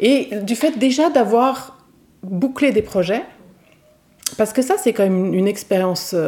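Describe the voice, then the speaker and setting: The voice moves at a fairly slow pace with lively intonation and long, frequent pauses. Noticeable background noise is present. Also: woman, fairly high pitch for a woman. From Switzerland. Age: 40s. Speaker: novelist and art teacher. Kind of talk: casual interview. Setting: over coffee. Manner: hesitant, many fillers.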